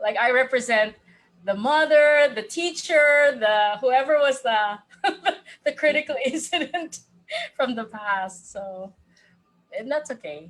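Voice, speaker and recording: Lively in intonation and high in pitch, a woman speaks at a fairly slow pace with long, frequent pauses. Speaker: life coach. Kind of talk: casual chat.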